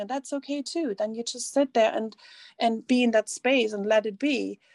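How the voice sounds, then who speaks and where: Recorded in a dry, close sound with no echo, a woman with a German accent speaks fairly quickly at a high pitch with ordinary pitch variation. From East Germany. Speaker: coach and author. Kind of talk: casual interview chat.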